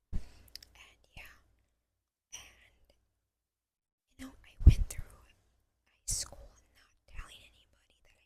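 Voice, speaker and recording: The voice is whispering. The pace is fairly slow. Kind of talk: ASMR whisper ramble. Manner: whispered.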